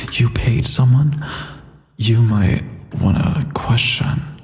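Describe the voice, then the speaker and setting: Against noticeable background noise, a man talks at a very slow pace with ordinary pitch variation. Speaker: voice actor. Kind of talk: casual livestream chat.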